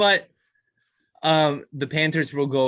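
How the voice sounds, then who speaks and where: A bright, sharp tone from a man on a very clean recording with a silent background. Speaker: hockey podcast panelist. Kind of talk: casual podcast chat. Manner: slurring at times.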